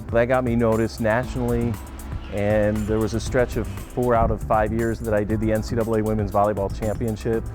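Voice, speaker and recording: With music in the background, a man talks fairly quickly at a fairly low pitch, his loudness very even and his pitch varying in an ordinary way. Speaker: stadium public address announcer. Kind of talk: interview answer.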